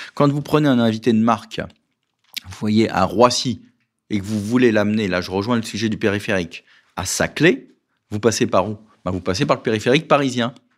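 Long, frequent pauses interrupt fairly quick speech that has ordinary pitch variation. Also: man, medium pitch for a man. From Paris, France. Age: 50s. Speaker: political candidate. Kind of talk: radio interview.

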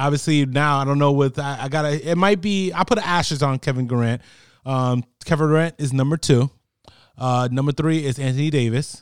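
Moving fairly quickly, an unremarkable speaking voice with an American accent shows ordinary pitch variation. The background is silent on this very clean recording. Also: man, fairly high pitch for a man. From New Jersey. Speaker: sports podcast co-host. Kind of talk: casual sports chat.

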